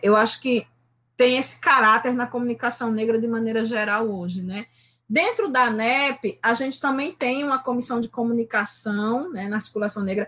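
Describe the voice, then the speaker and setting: A woman talks at a moderate pace with a fairly high pitch. Her tone is bright and sharp, and her intonation is lively. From Recife, Pernambuco, Brazil. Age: 50s. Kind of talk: interview.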